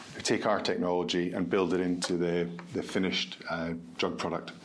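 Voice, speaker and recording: In a Scottish accent, a man with a very deep, low pitch speaks at a moderate pace, with audible room echo around him. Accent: Scottish, noticeable. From Scotland, Edinburgh. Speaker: med-tech company founder. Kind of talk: podcast interview.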